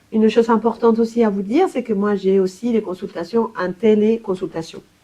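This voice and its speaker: With a Spanish accent, a woman speaks at a moderate pace. Her medium-pitched voice has a dark, mellow tone. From Colombia. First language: Spanish (speaking French). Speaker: language therapist. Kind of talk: professional self-presentation. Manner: hesitant, many fillers.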